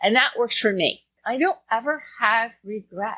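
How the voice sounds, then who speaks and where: This woman has a normal speaking voice, fairly high in pitch. Her intonation is lively. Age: 60s. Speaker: venue owner. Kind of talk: interview.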